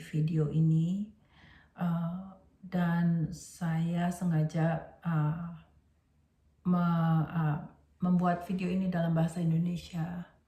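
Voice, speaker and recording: A woman speaks in a fairly low, dark, mellow voice that is somewhat breathy. Her intonation is monotone and flat, with audible room echo. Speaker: teacher and educational trainer. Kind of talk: lecture. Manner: halting, many fillers.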